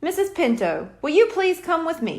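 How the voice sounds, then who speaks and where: A woman puts on a squeaky character voice, extremely high in pitch with very wide pitch swings, at a moderate pace. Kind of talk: stage showman. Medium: read story. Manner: smooth, theatrical, flattering.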